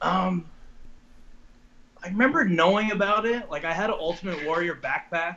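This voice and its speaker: Amid noticeable background noise, a man with an American accent and a high pitch uses a raised, projected voice at a moderate pace, with ordinary pitch variation and long, frequent pauses. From Long Island, New York. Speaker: professional wrestler. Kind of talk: interview. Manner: casual, hesitant.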